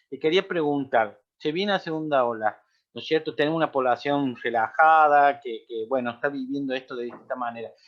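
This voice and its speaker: A man delivers his words fairly quickly. His voice sits fairly high and varies in pitch ordinarily. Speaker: seminar moderator. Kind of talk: interview questions in an online seminar. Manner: halting.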